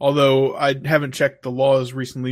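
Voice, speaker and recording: Pitched in the medium range, a man's voice stays monotone and flat. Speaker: podcast co-host. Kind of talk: casual banter podcast.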